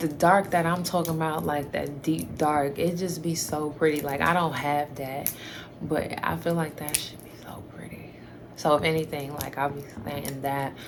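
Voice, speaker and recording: A woman's very deep, low voice, flat and monotone, at a moderate pace, with big swings in loudness, audible room echo and noticeable background noise. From New York. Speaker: YouTuber. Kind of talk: casual Q&A chat to camera. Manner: hesitant, many fillers.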